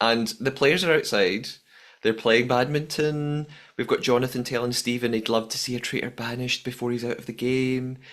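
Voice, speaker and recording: Speaking with a Scottish accent, a man talks at a moderate pace and a medium pitch. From Scotland. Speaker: podcast host. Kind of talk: casual chat.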